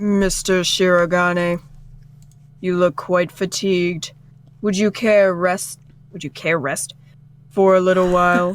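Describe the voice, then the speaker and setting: A woman does a put-on character voice at a fairly slow pace, with long, frequent pauses. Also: medium pitch for a woman. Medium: game stream. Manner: polite, measured, condescending.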